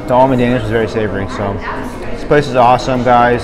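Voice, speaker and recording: Loud background noise behind a man's fairly quick delivery. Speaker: food vlogger. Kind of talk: casual vlog chat. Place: cafe. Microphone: phone near.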